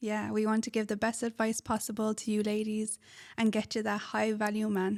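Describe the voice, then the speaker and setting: A woman with an Irish accent at a fairly high pitch, monotone and flat in intonation, very even in loudness and fairly quick in pace, on a very clean recording with a silent background. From Ireland. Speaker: podcast co-host, relationship advice. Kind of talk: casual chat.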